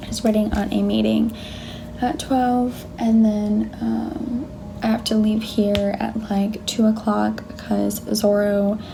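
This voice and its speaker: Quiet and very slow, a woman speaks amid audible room echo and noticeable background noise. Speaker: lifestyle vlogger. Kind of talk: casual vlog. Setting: office at work. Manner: quiet, low volume.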